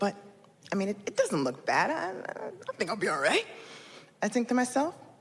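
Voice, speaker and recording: A woman speaks in an animated tone with very wide pitch swings. Noticeable background noise runs underneath. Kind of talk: live storytelling performance. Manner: humorous, animated, expressive.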